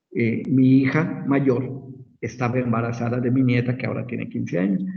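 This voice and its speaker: There is audible room echo as a man talks in a somewhat breathy, medium-pitched voice at a moderate pace. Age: 60s. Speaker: medical professor. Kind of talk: lecture.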